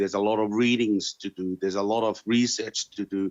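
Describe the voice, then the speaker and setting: A man speaks fairly quickly with a Tongan accent, his fairly low voice held in a flat monotone. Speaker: interviewee sharing life experience. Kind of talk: interview answers. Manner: halting, many fillers and repetitions.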